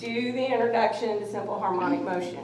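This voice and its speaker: A woman speaks at a fairly quick pace with a fairly high pitch. Noticeable background noise and audible room echo are present. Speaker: college physics instructor. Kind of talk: classroom lecture.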